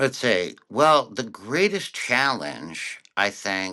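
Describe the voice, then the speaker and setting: A man with an American accent, very slow in pace, with a bright, sharp tone and lively intonation. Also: very clean recording, silent background. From Connecticut, US. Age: 60s. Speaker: cartoonist and author. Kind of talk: interview.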